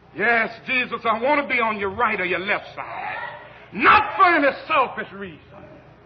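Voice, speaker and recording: A man with a Southern US accent speaks at a moderate pace in an extremely high pitch, his intonation lively and his tone solemn, over noticeable background noise. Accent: Southern American. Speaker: Baptist preacher. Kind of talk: church sermon delivered to a congregation. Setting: church, live congregation recording. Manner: solemn, cadenced, rhetorical.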